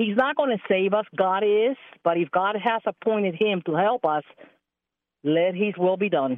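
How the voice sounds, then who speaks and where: With an American accent and a plain, everyday voice, a woman speaks at medium pitch and a moderate pace. Her intonation is lively and her loudness stays very even. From Texas. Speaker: caller. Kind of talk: call-in opinion. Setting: phone call.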